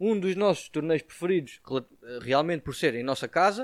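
A man's high voice with lively intonation, on a very clean recording over a silent background. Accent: European Portuguese. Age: 20s. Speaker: tennis coach. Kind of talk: casual chat.

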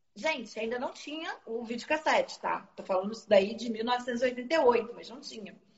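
With a Rio de Janeiro accent, a woman speaks at a fairly slow pace in a high pitch. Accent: Carioca Brazilian Portuguese. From Rio de Janeiro, Zona Norte. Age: 40s. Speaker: film distributor. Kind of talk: casual interview.

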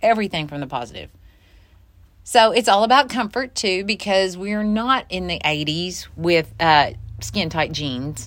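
A woman in an ordinary speaking voice, medium pitch, fairly slow pace and lively intonation, on a very clean recording with a silent background. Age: 50s. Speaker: podcast co-host, clothing shop owner. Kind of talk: casual chat. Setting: clothing shop.

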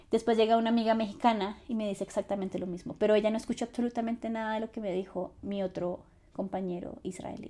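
The voice moves at a very fast pace with fairly even intonation. Its tone is dark and mellow. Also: woman, fairly high pitch for a woman. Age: 20s. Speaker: podcast host and content creator. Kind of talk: solo personal storytelling podcast.

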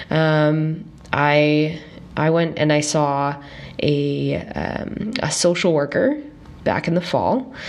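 The speaker goes at a very slow pace with ordinary pitch variation. Noticeable background noise and audible room echo fill the recording. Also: woman, very deep, low pitch for a woman. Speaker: podcast host. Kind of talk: casual solo podcast monologue. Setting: recording at parents' home.

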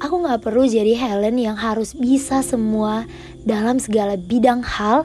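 With music in the background, a woman talks in an animated tone at a moderate pace and fairly high pitch, with ordinary pitch variation. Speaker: podcaster. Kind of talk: personal monologue.

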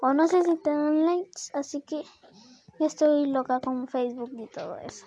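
A woman's high voice with ordinary pitch variation, big swings in loudness and long, frequent pauses. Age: 20s. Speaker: podcaster. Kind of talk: casual monologue. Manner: rambling, halting.

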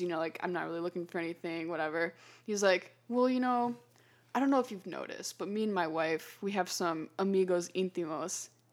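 In a very clean recording with a silent background, a woman speaks at medium pitch and a moderate pace with ordinary pitch variation in an ordinary speaking voice. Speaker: podcast guest, student and model. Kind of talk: casual interview storytelling.

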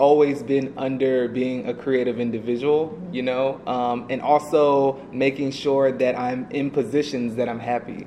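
A man with a fairly high voice and an American accent, fairly slow, with ordinary pitch variation and noticeable background noise. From US South (Atlanta, Georgia). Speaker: advertising creative director. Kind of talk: casual interview. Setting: office.

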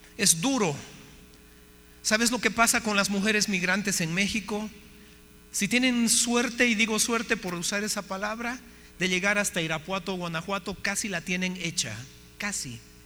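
A man projects a raised voice with a bright, sharp tone and a high pitch. He moves at a moderate pace, leaving long, frequent pauses. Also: ordinary pitch variation. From Bolivia. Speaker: missionary speaker. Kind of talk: sermon.

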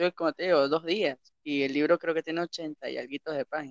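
A man with a normal speaking voice, fairly high in pitch, at a fairly quick pace. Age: 20s. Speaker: podcast host. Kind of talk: casual chat.

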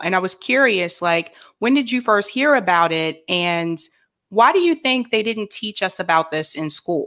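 With an American accent and a plain, everyday voice, a woman speaks at a medium pitch and moderate pace with lively intonation on a very clean recording with a silent background. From various places, military family. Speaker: podcast host. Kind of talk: interview.

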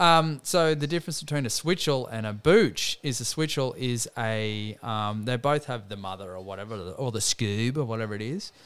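Speaking at a moderate pace with an Australian accent, this voice has lively intonation and hardly any pauses. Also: man, medium pitch for a man. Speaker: podcast host, sports talk. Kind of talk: casual banter about sport.

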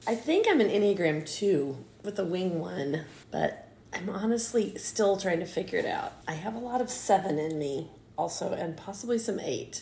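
A woman's plain, everyday voice at a medium pitch, with lively intonation and a moderate pace. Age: 50s. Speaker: mother of the host, baker and former teacher. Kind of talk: casual chat.

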